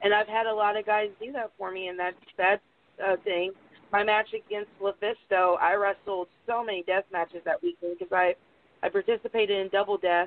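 The speaker has a Southern US accent and talks at a fairly quick pace. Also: woman, medium pitch for a woman, fairly even intonation. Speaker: professional wrestler. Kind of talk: interview.

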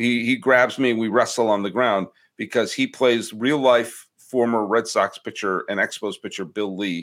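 In a very clean recording with a silent background, a man uses a plain, everyday voice at a medium pitch, keeping a moderate pace with hardly any pauses and fairly even intonation. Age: 40s. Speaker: baseball podcaster. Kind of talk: casual chat.

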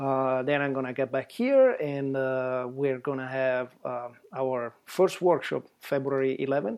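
Speaking in an Italian accent, a man keeps a medium pitch, a fairly slow pace and monotone, flat intonation. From Italy. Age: 50s. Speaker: travel photographer. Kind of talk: casual chat.

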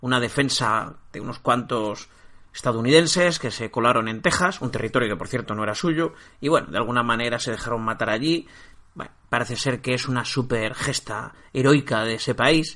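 Against a quiet background, a man with a bright, sharp tone speaks at a moderate pace and medium pitch with ordinary pitch variation. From Spain, Barcelona. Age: 50s. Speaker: history podcaster. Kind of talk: casual interview chat.

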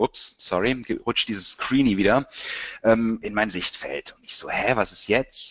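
Loudness swings widely in this very slow delivery, with ordinary pitch variation. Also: man, medium pitch for a man. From Germany, Cologne. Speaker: marketing agency director. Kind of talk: webinar presentation. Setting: webinar. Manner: animated.

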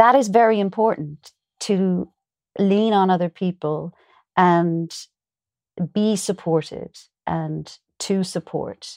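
A woman with an Irish accent speaks very slowly at a medium pitch with ordinary pitch variation and long, frequent pauses, captured on a very clean recording with a silent background and a dry, close sound with no echo. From Ireland. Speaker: actor. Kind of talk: casual interview.

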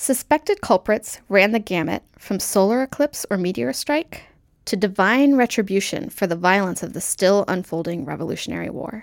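On a very clean recording with a silent background and a dry, close sound with no echo, a woman speaks at a moderate pace and medium pitch with very wide pitch swings. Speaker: segment presenter. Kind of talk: scripted narration.

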